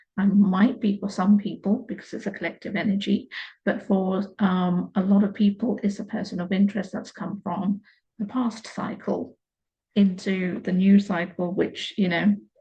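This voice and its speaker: A woman speaks with a medium pitch in a dark, mellow, somewhat breathy tone. Her intonation is monotone and flat. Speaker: tarot reader. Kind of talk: tarot reading. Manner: slower than usual.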